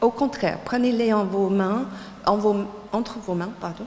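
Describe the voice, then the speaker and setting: A woman speaks with an English accent and a fairly high pitch. There is noticeable background noise. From United States. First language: English (speaking French). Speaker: textile designer and teacher. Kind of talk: lecture. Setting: lecture hall with audience. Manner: halting, many hesitations.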